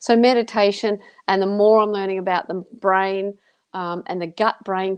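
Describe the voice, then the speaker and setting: A woman of medium pitch uses an ordinary speaking voice, keeping a moderate pace and fairly even intonation. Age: 50s. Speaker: author and motivational speaker. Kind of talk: casual chat.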